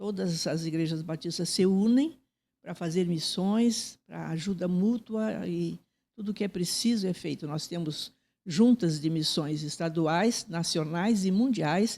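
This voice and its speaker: In a dark, mellow tone, a woman speaks at a fairly slow pace, her pitch fairly low with ordinary variation. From Paraná, southern Brazil (coast and Curitiba). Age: 80s+. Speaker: church leader, interviewee. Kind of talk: interview. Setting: studio.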